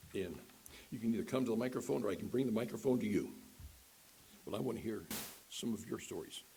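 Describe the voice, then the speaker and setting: A man talks in a medium pitch with a dark, mellow tone, vocal fry and lively intonation. His speech has long, frequent pauses, and the room echo is audible. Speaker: guest speaker. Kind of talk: personal testimony in worship service. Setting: church with live audience. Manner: halting.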